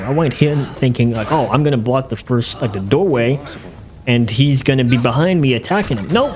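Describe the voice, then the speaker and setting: There's noticeable background noise as a man talks at a fairly quick pace. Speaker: gaming youtuber. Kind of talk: gameplay commentary narration. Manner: unscripted, hesitant with many fillers.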